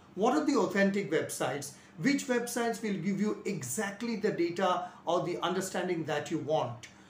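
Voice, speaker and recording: A man speaks at a high pitch and a moderate pace. Music plays in the background, and the room echo is audible. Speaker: physics teacher. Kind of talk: lecture. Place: home room. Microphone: lapel.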